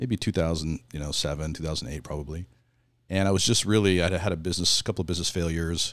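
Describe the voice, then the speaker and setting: Speech in a West Coast accent comes at a very fast pace with ordinary pitch variation. The recording is very clean, with a silent background. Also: man, very deep, low pitch for a man. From Southern Oregon, US. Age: 50s. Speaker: shaman and ceremony facilitator. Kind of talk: casual interview conversation. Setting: in person at a retreat.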